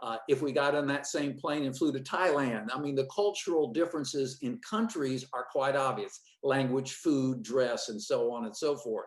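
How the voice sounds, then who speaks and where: Hardly pausing, a man speaks at a fairly high pitch with ordinary pitch variation. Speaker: fundraising consultant. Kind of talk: webinar presentation. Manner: fast.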